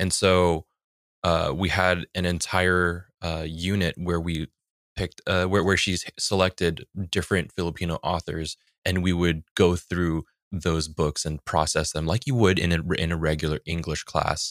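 A man with an American accent speaks fairly slowly in a very deep, low pitch and monotone, flat intonation, with a dry, close sound with no echo on a very clean recording with a silent background. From San Francisco Bay Area, US. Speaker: tabletop RPG performer and producer, voice actor. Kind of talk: casual interview chat.

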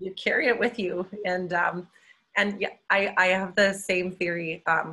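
In a Canadian accent, a woman speaks at a medium pitch with a bright, sharp tone. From Calgary, Canada. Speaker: engineer. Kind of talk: casual chat.

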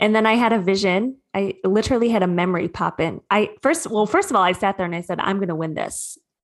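A woman with a Midwestern American accent, very fast with hardly any pauses, ordinary pitch variation, quiet background. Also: medium pitch for a woman. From Michigan, Metro Detroit. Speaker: spiritual coach. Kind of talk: interview.

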